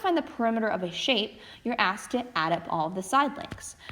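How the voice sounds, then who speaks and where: Talking at a very fast pace, a woman with a fairly high pitch makes very wide pitch swings as noticeable background noise runs behind her. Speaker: math teacher. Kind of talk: recorded lesson.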